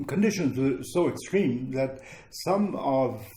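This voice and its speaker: In a room with audible echo, a medium-pitched man speaks fairly slowly with lively intonation. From Ukraine, childhood in Germany. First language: Ukrainian. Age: 70s. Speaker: former displaced person, interviewee. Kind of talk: interview, personal recollection. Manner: halting, many fillers.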